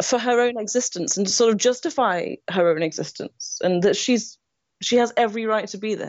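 In a Nottingham accent, a woman talks at a fairly quick pace, her fairly high voice showing ordinary pitch variation. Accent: English Midlands (Nottingham). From England, Nottingham. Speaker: screenwriter. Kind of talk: interview.

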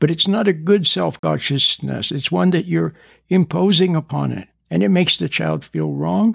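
Speaking at a moderate pace, a man with a fairly high pitch and ordinary pitch variation shows vocal fry and a slightly husky edge.

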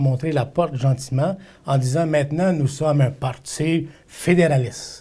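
Somewhat breathy and dark, mellow in tone, this man's fairly high voice shows ordinary pitch variation. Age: 50s. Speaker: political candidate. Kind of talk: interview.

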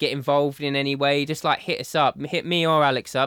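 With an Essex accent, a man speaks very fast in a fairly high pitch with monotone, flat intonation. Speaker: podcast host. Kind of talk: casual, slangy. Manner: talkative, chatty.

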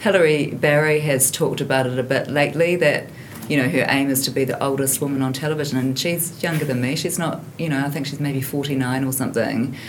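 With a New Zealand accent, a woman talks in a very deep, low voice with fairly even intonation, over audible room echo and noticeable background noise. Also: fairly quick pace. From New Zealand, Hamilton. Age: 50s. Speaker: investigative journalist. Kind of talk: casual chat.

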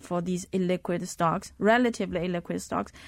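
Speaking with a Chinese accent, the voice keeps a moderate pace and fairly even intonation on a very clean recording with a silent background. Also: woman. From Zhejiang, China. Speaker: fund manager and researcher. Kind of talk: casual interview.

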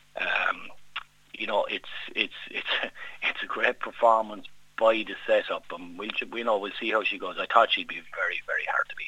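A man with a Kerry accent at a moderate pace. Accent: Irish (Kerry). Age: 40s. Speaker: bookmaker. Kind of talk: casual chat.

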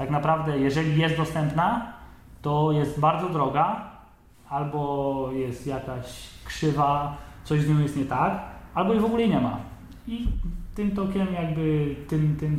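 A man's fairly high voice, with ordinary pitch variation, comes through noticeable background noise and audible room echo. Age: 20s. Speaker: bicycle frame builder. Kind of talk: interview.

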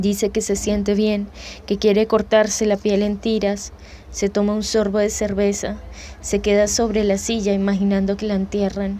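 The speaker is a woman with a medium-pitched voice. She talks in a monotone, flat way. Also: moderate pace. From Colombia, Bogotá. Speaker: poet. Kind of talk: poetry reading.

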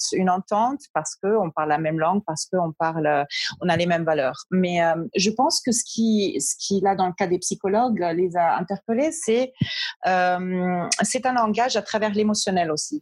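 Using an unremarkable speaking voice, a woman talks at a fairly slow pace and medium pitch with lively intonation and very even loudness, in a dry, close sound with no echo. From German and Colombian background, partly raised in New York. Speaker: brand strategist and business coach. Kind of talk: interview.

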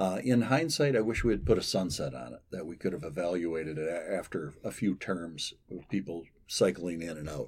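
A man's very deep, low voice with an American accent, lively intonation, big swings in loudness, a moderate pace and hardly any pauses. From western Michigan. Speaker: former state lawmaker. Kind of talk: interview.

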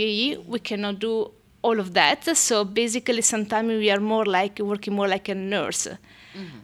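An Italian accent at a moderate pace, with ordinary pitch variation. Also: woman. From Italy. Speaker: midwife. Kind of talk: interview. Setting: hospital birthing room.

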